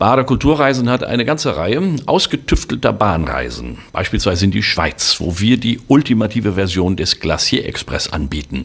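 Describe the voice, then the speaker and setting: A man speaks at a moderate pace with a fairly low pitch and vocal fry. His pitch swings very widely, and he hardly pauses. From Germany, Sauerland (Westphalia). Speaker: travel company owner and former tour guide. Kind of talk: promotional monologue.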